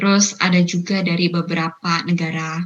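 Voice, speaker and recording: This is a normal speaking voice, a woman at medium pitch with ordinary pitch variation. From Indonesia. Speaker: university student. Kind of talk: interview.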